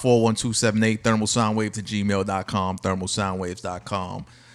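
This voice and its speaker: A man talks fairly quickly. Background music runs beneath his voice. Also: hardly any pauses. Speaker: radio host. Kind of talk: casual chat. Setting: studio.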